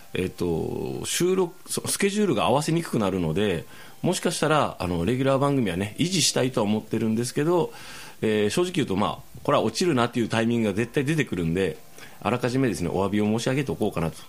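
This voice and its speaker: The man's medium-pitched voice makes very wide pitch swings at a very fast pace. The recording is very clean, with a silent background. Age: 40s. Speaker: podcast host. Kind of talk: casual chat.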